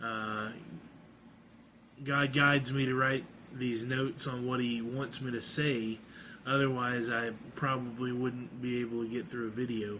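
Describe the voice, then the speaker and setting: A man's medium-pitched, flat monotone at a fairly slow pace, with long, frequent pauses and audible room echo. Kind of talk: personal testimony. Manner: halting.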